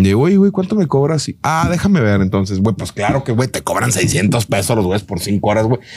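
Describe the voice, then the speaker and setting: Here a man's voice moves through very wide pitch swings. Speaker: comedic content creator, football fan. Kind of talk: casual chat.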